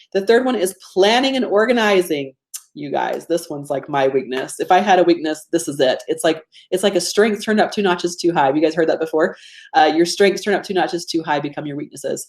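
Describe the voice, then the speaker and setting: A woman with a fairly low pitch at a very fast pace with lively intonation. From US state of Georgia. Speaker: business coach running a webinar. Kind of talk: live webinar presentation. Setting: live online webinar. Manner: casual, conversational.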